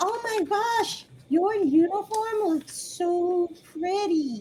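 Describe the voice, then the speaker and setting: Squeaky, extremely high-pitched put-on character voice at a very slow pace. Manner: sweet, admiring.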